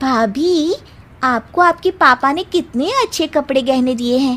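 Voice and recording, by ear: This is a woman doing a cartoonish character voice. It is pitched high and delivered at a fairly slow pace.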